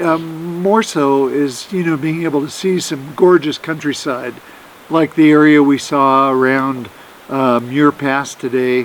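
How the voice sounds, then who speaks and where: A man with an American accent and a fairly high pitch talks over noticeable background noise. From Oregon, US Pacific Northwest. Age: 60s. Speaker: hiker. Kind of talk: casual interview on trail.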